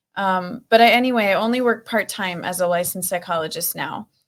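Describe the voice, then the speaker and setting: With a Minnesota accent, a woman speaks with fairly even intonation. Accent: northern US (Minnesota), noticeable. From Minnesota, US Upper Midwest. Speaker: actor, model and psychologist. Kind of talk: interview.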